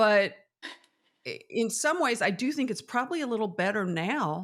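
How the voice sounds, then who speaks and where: An unremarkable speaking voice, this woman's is fairly high in pitch, with lively intonation and a moderate pace. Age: 60s. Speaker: TV host. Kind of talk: casual chat.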